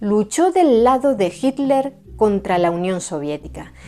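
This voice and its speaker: A dark, mellow voice speaks at a fairly slow pace, its pitch swinging very widely. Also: woman. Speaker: history documentary narrator. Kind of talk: documentary narration.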